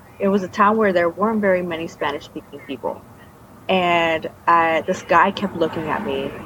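A woman speaks at a moderate pace and a fairly low pitch, with ordinary pitch variation. Noticeable background noise is present. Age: 30s. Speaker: former cult member. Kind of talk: testimony; casual chat.

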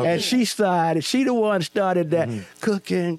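A man speaks very slowly in a high pitch with lively intonation. The sound is dry and close with no echo, though noticeable background noise is present. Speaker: radio personality and pastor. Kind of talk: casual storytelling.

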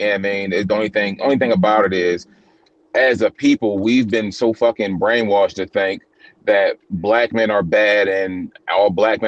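Dry and close with no echo, a man's fairly low voice moves at a moderate pace. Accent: Baltimore. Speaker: podcast guest.

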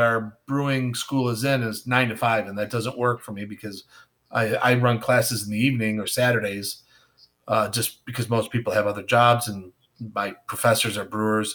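A man with an American accent has an unremarkable speaking voice. He talks at a moderate pace with a medium pitch. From western New York, near Buffalo. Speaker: craft beer educator and consultant. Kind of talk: casual chat.

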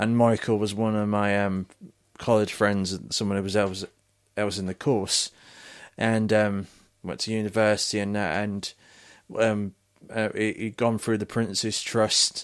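Over a very clean recording with a silent background, a man with a fairly low voice talks fairly slowly in a flat monotone with long, frequent pauses. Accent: British. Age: 20s. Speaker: podcast host. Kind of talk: casual chat. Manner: halting, many fillers and restarts.

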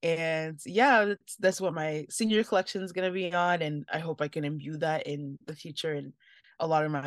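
A woman with a plain, everyday voice, ordinary pitch variation and a moderate pace, in a dry, close sound with no echo and a very clean, silent background. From US, Nigerian immigrant family. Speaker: fashion designer and design student. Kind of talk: interview.

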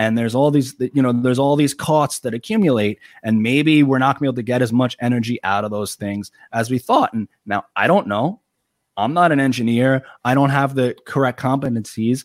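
The man has a New York accent and a medium pitch with ordinary pitch variation. The recording is very clean with a silent background and a dry, close sound with no echo. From Long Island, New York. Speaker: YouTuber and political writer. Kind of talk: casual interview.

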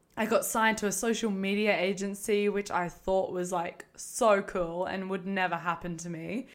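A woman speaks in an Australian accent at a medium pitch. She keeps a moderate pace with hardly any pauses. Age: 20s. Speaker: podcast host, former reality TV contestant. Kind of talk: casual monologue. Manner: animated.

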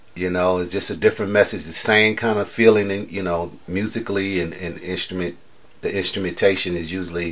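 At a fairly quick pace, a man speaks in a very deep, low pitch with monotone, flat intonation and big swings in loudness. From Chicago, US. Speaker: blues guitarist. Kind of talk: interview. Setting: at home.

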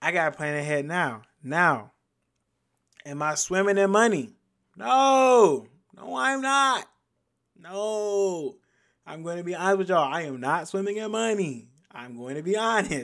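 High-pitched man's voice at a fairly slow pace, with very wide pitch swings, big swings in loudness, and long, frequent pauses, in a very clean recording with a silent background. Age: 20s. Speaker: podcast host. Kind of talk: casual solo monologue.

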